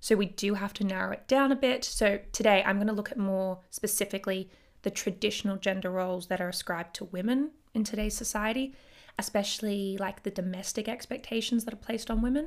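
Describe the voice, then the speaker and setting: Very fast and in an Australian accent, a woman speaks at medium pitch with ordinary pitch variation. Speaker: podcast host, historian. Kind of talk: solo educational podcast. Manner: casual, lots of filler words.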